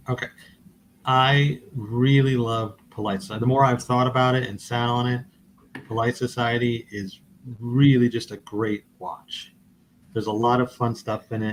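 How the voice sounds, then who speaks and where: A man speaking at a moderate pace in a flat monotone. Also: medium pitch for a man. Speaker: podcast co-host. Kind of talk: casual chat. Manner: halting.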